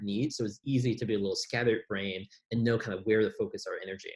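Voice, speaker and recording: At a very fast pace, a man with an American accent speaks at medium pitch, somewhat breathy, with fairly even intonation. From US Midwest, Chicago South Side. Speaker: entrepreneur. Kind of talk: casual interview chat. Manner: calm, thoughtful.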